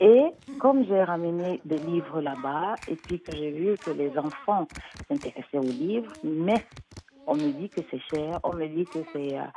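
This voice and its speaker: At a very slow pace, a woman talks with lively intonation and a fairly low pitch over noticeable background noise. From Cameroon, raised in Switzerland. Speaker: children's author and storyteller. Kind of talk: interview answer. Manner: hesitant, many fillers.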